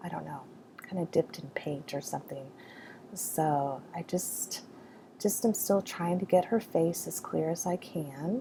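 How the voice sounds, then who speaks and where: Soft-spoken and fairly slow, the voice has vocal fry, a dark, mellow tone, ordinary pitch variation and big swings in loudness. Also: woman, fairly low pitch for a woman. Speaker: art journaling video maker. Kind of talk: voiceover tutorial. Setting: home art studio. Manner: hesitant, filler-heavy.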